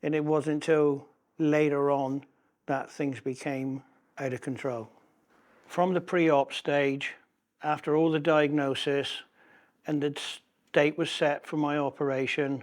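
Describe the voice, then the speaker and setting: Over a very clean recording with a silent background, a man speaks at a fairly high pitch and fairly slow pace, his intonation monotone and flat, with long, frequent pauses. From West Country, England. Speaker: patient sharing his ostomy story. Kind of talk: personal testimony interview.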